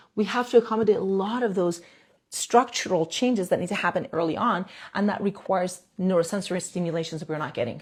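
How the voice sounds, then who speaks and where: Her voice has a dark, mellow tone and is somewhat breathy. The woman talks at a fairly quick pace with lively intonation. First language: not English. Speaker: dentist doing airway and jaw treatment. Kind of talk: live stream talk to viewers. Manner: halting, with restarts and fillers.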